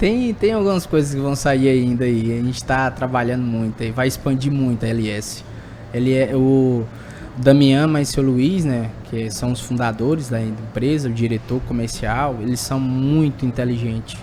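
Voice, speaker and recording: Speaking with a Tocantins accent, a man uses a medium pitch and fairly even intonation at a fairly slow pace over noticeable background noise. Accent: keeps Tocantins. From Tocantins, Brazil. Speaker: sales representative for agricultural machinery. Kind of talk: podcast interview. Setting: at an agricultural fair.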